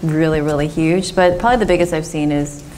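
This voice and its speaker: A woman with a very deep, low pitch and an American accent speaks with fairly even intonation, amid audible room echo and noticeable background noise. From Southern California. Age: 40s. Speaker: dermatologist. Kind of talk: Q&A after a medical talk.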